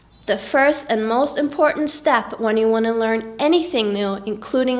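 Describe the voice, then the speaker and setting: A fairly high-pitched woman with a Norwegian accent, ordinary pitch variation and noticeable background noise. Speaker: vlogger. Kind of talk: tips vlog.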